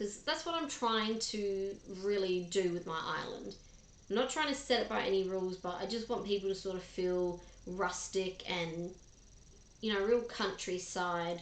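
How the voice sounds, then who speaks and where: A woman talks in an Australian accent at a fairly slow pace. Her medium pitch shows ordinary variation, with audible room echo around it. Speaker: gaming streamer. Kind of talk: live stream chat. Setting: live stream. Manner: casual, chatty with fillers.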